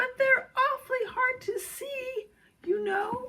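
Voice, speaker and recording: A woman's squeaky put-on character voice, extremely high in pitch, at a fairly slow pace. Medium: read story.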